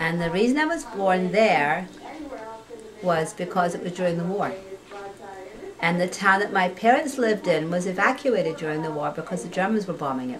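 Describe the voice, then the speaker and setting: Over noticeable background noise, a medium-pitched woman speaks at a fairly quick pace with lively intonation and long, frequent pauses. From Scotland. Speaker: teacher's aide. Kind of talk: casual life story interview.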